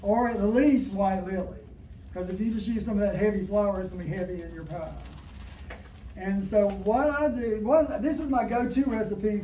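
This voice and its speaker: A man's high-pitched voice in a Southern US accent, at a fairly quick pace with ordinary pitch variation, amid audible room echo and noticeable background noise. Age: 60s. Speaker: cooking demonstrator. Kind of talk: cooking demonstration. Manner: conversational.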